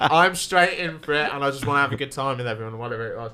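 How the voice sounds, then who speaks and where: The speaker has a southern English accent. The tone is bright and sharp. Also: man. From Wales. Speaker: stand-up comedian and podcast co-host. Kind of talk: casual chat. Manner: animated.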